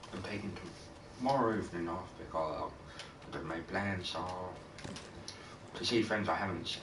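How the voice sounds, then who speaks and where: A man with a very deep, low voice talks at a fairly quick pace with ordinary pitch variation, leaving long, frequent pauses amid noticeable background noise and audible room echo. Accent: British. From Britain. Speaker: video game streamer. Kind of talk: casual gameplay commentary. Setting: live stream.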